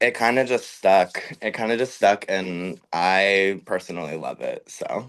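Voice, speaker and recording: A man with an American accent speaks at a fairly slow pace. He leaves hardly any pauses. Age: 20s. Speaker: drag performer. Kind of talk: casual chat; sales pitch. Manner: animated.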